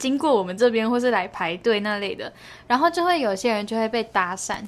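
This woman's pitch sits fairly high. The recording is very clean, with a silent background. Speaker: podcast co-host. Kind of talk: casual chat.

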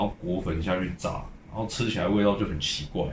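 A man speaks at a fairly quick pace in a fairly low pitch with ordinary pitch variation. Audible room echo and noticeable background noise surround him. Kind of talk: casual chat.

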